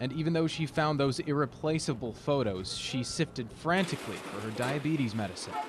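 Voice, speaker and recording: Talking at a fairly quick pace with hardly any pauses, a man with a fairly high pitch and ordinary pitch variation is heard over noticeable background noise. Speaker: TV news reporter. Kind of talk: TV news package voice-over.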